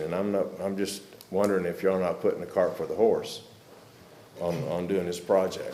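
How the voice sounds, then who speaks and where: Audible room echo surrounds this delivery, which proceeds at a moderate pace. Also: man. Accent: American. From Arkansas. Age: 60s. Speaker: public commenter, military veteran. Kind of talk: public comment at county meeting.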